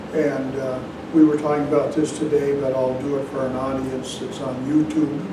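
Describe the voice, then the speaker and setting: The speaker is a man at a moderate speed. Clear background noise can be heard throughout. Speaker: zen teacher. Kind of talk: dharma talk. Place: hall.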